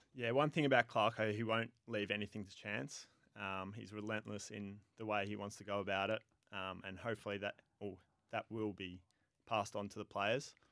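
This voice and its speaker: A man speaks with an Australian accent at a fairly quick pace, his pitch fairly low and his intonation fairly even. His loudness swings widely. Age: 20s. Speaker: professional footballer. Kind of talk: radio interview. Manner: hesitant, many fillers.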